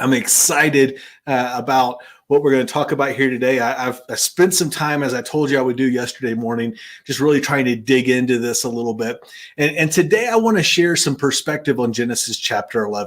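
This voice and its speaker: Here a man speaks with an American accent at a fairly quick pace. His pitch is medium, with ordinary variation. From US South. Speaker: Bible teacher and finance host. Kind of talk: bible study talk.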